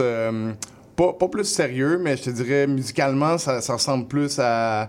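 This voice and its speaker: A man with an unremarkable speaking voice talks at a fairly slow pace and a medium pitch. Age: 30s. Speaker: rapper. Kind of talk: casual interview. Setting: radio studio.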